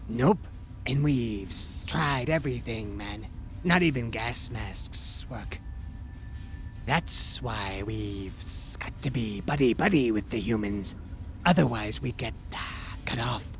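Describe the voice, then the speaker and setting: A man's put-on character voice at a fairly slow pace, with long, frequent pauses and clear background noise. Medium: video game. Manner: relaxed, stoner slang, stuttering.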